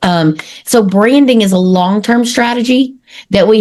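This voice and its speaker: A woman speaks with an East Texas accent in an energetic tone. She goes at a fairly slow pace, with ordinary pitch variation. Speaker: marketing consultant. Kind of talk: podcast interview.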